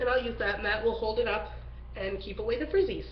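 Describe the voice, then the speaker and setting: Audible echo from the room and noticeable background noise surround a female speaker. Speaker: natural hair vlogger. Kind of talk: tutorial. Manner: casual, conversational.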